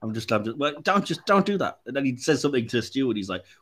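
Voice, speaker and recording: A man talks at a very fast pace in an animated tone, his pitch swinging very widely. The recording is very clean with a silent background. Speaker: podcast host. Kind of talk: casual chat.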